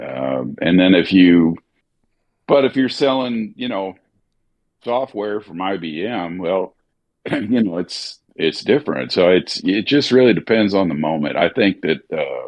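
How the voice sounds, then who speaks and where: Fairly low-pitched male speech with an American accent, vocal fry, lively intonation and a fairly slow pace. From US South, near southern Missouri. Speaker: voice actor. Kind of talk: casual chat. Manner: articulate.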